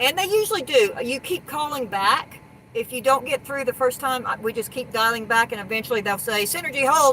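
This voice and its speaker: Noticeable background noise sits under the voice. The talking goes at a fairly quick pace. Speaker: RV hauler and live stream co-host. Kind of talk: casual live stream chat. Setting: live stream. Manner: fast talker.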